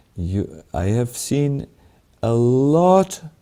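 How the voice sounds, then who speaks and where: With a German accent, a man speaks in a dark, mellow tone. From Germany. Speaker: monk and spiritual teacher. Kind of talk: spiritual Q&A answer. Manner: halting, many fillers.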